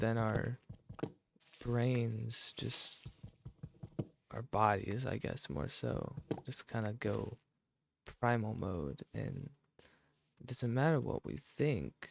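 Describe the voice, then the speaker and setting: Soft-spoken and very slow, a man with a medium pitch and ordinary pitch variation talks with long, frequent pauses. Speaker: ASMR creator. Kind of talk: soft-spoken gaming ASMR talk.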